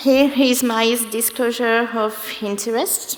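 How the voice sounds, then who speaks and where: A woman with a French accent and a fairly high pitch speaks at a fairly slow pace, with audible room echo and noticeable background noise. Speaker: medical biologist. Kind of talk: conference talk.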